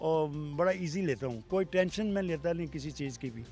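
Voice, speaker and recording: A man's speech shows ordinary pitch variation while music plays in the background. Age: 70s. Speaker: motorcycle traveller. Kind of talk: interview answer.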